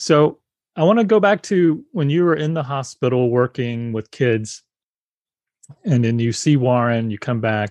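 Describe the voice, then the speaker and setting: An ordinary speaking voice moves at a fairly slow pace with lively intonation, recorded dry and close with no echo against a quiet background. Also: man, medium pitch for a man. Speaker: podcast host. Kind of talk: interview conversation.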